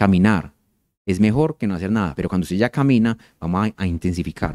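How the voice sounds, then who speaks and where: Against a quiet background, a man speaks with a fairly low pitch, a dark, mellow tone and ordinary pitch variation. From Colombia, Medellín. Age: 40s. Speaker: endocrinologist. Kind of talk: public health talk. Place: hall. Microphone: handheld.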